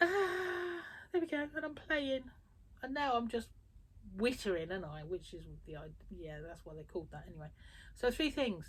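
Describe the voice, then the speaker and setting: A woman's fairly high voice with vocal fry, very wide pitch swings and big swings in loudness. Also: moderate pace. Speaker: quilter and small fabric business owner. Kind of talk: casual vlog chat. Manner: animated.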